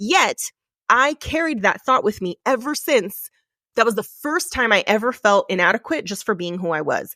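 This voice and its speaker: A woman's animated, bright, sharp voice at a moderate pace, with very wide pitch swings and a dry, close sound with no echo, in a very clean recording with a silent background. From California Bay Area, Mexican American. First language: Spanish. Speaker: podcast host and leadership coach. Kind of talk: solo podcast monologue. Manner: animated, emphatic.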